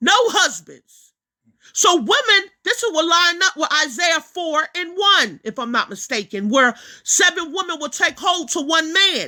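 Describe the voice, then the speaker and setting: A woman's raised, projected voice at an extremely high pitch, bright and sharp in tone, animated, with very wide pitch swings at a fairly slow pace. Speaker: religious teacher. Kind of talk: preaching monologue.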